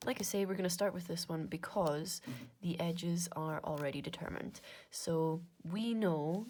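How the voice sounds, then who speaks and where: In a slight Scottish Highlands accent, a woman speaks at a moderate pace with a dark, mellow tone and fairly even intonation. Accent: Inverness Scottish, mild. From Scotland, Inverness. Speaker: maths content creator. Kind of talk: casual maths working-through monologue. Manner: casual, chatty with fillers.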